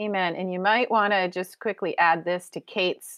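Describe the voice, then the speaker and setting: At a fairly slow pace, a woman speaks in an unremarkable speaking voice of medium pitch. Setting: video call.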